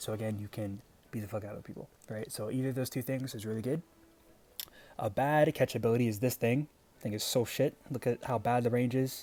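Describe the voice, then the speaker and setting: A man talks in a dark, mellow tone with fairly even intonation. He leaves long, frequent pauses. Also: medium pitch for a man. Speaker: gaming video creator. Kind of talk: unscripted tutorial. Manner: stuttering; casual, hesitant with fillers.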